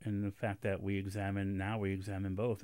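A man with a normal speaking voice and a fairly low pitch talks at a moderate pace on a very clean recording with a silent background. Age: 50s. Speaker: radio host. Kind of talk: radio interview. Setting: studio.

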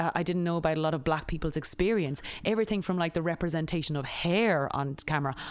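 A woman with an Irish accent talks at a very fast pace in a fairly low pitch. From Ireland. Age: 30s. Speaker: comedian. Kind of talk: casual chat. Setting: outdoors.

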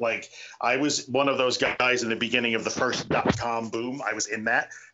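In a New York accent, a man talks at a fairly quick pace. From US Northeast, Long Island. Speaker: support group founder. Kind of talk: podcast interview. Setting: video call. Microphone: choppy, quiet remote recording.

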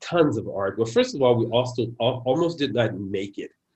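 Against a quiet background, a man speaks with an American accent in a somewhat breathy voice. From San Francisco, US. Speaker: poet. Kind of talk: interview conversation.

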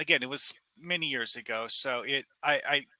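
A man speaks in a bright, sharp tone. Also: dry, close sound with no echo. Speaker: caller. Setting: video call.

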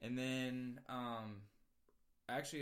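With audible room echo, a man talks at medium pitch in a monotone, flat intonation. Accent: American. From Virginia, US East Coast. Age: 20s. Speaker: musician. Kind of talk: casual chat.

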